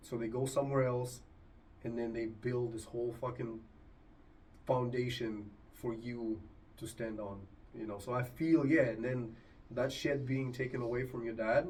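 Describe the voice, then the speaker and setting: Audible room echo surrounds a man speaking at a medium pitch. His intonation is fairly even, with long, frequent pauses. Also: moderate pace. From Argentina. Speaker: podcast host. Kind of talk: casual chat.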